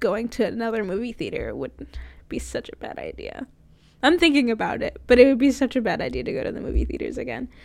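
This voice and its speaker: A soft-spoken woman with an American accent talks at a very fast pace, her loudness swinging widely. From Florida, US. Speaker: college radio host. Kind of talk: casual solo talk show monologue. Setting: recording from home. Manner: soft-spoken, talks quietly.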